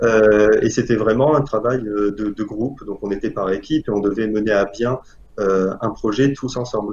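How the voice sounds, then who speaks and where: At a moderate pace, a man with a fairly low pitch and fairly even intonation talks in an ordinary speaking voice. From Algeria. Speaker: engineering student. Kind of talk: interview.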